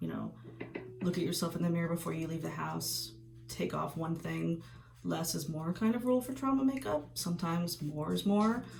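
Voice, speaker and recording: Music can be heard in the background. The woman talks at a moderate pace. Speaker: makeup artist teaching trauma makeup. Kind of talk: tutorial. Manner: casual, with filler words.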